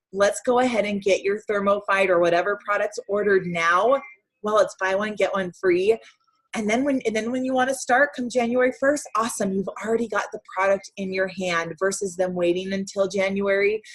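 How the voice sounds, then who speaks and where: At a fairly quick pace, a woman talks at a medium pitch. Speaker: direct sales team leader. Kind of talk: motivational team call. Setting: video call. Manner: fast; animated.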